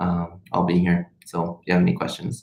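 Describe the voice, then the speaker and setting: With a Spanish accent, a man speaks in a very deep, low pitch with fairly even intonation. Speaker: medical student vlogger. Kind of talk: livestream Q&A chat. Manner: hesitant, many fillers.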